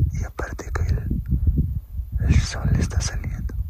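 A man speaks at a very slow pace in a dry sound with no echo, with loud noise in the background. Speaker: nature vlogger. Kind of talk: casual talk to camera. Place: open country. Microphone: phone near.

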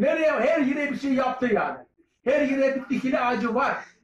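At a moderate pace, a man speaks with extremely high pitch and fairly even intonation, with audible room echo and light background noise. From Turkey. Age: 70s. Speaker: barber. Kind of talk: street interview. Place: shop. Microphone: phone near.

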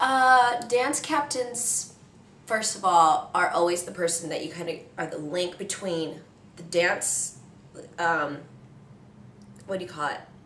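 Delivered in an American accent at a fairly slow pace, the speech has lively intonation and long, frequent pauses, with audible room echo and light background noise. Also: woman. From Iowa, USA. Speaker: professional dancer and dance captain. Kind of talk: interview answer. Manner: casual, relaxed. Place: home room. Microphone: camera far.

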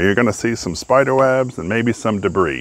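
Dry with no echo, a man talks with ordinary pitch variation. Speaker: DIY reviewer. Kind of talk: tutorial. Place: garden. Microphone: phone near.

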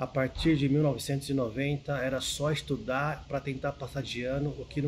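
Over noticeable background noise, a man speaks slowly in a fairly high, monotone, flat voice. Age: 40s. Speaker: architect and writer, book editor at investment research firm. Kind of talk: personal storytelling to camera.

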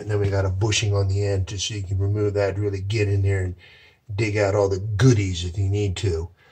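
A man with a fairly low, somewhat breathy voice talks at a fairly quick pace against a quiet background. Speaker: heating contractor. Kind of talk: tutorial. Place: home room. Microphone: phone near.

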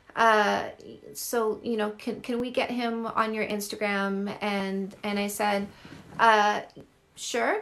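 A woman speaks with a Canadian accent at a very slow pace. Her tone is bright and sharp. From Canada. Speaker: dating coach. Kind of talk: livestream Q&A with viewers. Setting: live video stream from home. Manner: warm, affectionate. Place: home room. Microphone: phone near.

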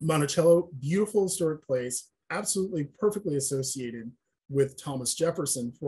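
Over a quiet background, a man with a fairly high pitch and a dark, mellow, somewhat breathy tone speaks at a moderate pace with ordinary pitch variation. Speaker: historian and preservation consultant; panelist. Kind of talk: presentation lecture. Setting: webinar video call. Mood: earnest, explanatory. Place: home room. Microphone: webcam.

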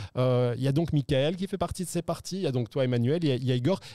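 The recording is dry, with no echo and a quiet background. A man speaks in a dark, mellow tone. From Belgium. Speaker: poker show host; stream host. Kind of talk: casual chat with poker commentary. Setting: studio. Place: studio. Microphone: studio mic.

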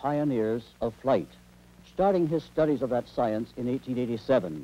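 A man talks at a moderate pace with lively intonation and a dark, mellow tone.

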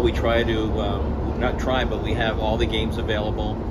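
Loud background noise behind a man talking at a moderate pace. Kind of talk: interview answer. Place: bar. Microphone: phone near.

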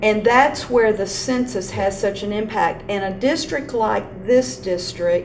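Over light background noise, a woman speaks with ordinary pitch variation. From Texas. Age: old. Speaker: school superintendent; interview host. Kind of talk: interview. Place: meeting room.

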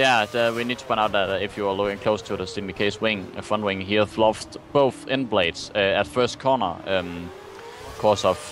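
Against noticeable background noise, a man speaks at a moderate pace with a fairly low pitch and ordinary pitch variation. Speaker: race commentator. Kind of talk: live race commentary. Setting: online video, gaming commentary. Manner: excitable, reacting with gasps to crashes; halting, stumbling over words.

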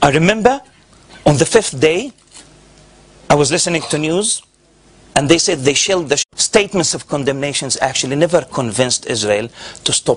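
With an Arabic accent, a man speaks at a fairly quick pace using very wide pitch swings. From Gaza, Palestine. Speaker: professor. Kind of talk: lecture. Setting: stage with audience. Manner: animated. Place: hall. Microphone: podium.

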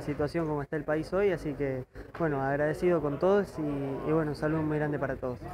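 A man at a fairly quick pace, monotone and flat, over noticeable background noise. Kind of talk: interview answer. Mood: pleased, calm. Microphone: handheld.

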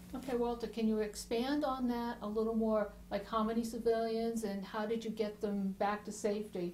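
A woman with a fairly high pitch speaks in a monotone, flat way at a moderate pace over noticeable background noise. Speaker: oral history interviewer. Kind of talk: interview questions.

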